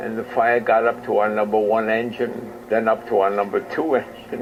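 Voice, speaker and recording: A man speaks at a fairly slow pace with a New York accent. His pitch sits in the middle range. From New York City, Queens. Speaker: war veteran. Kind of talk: interview.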